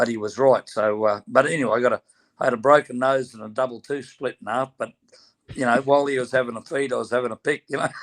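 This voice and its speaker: A man with a strong Australian accent, medium pitch, fairly even intonation and a very fast pace. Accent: broad Australian. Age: 70s. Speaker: former boxer and horse trainer. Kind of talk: casual interview chat.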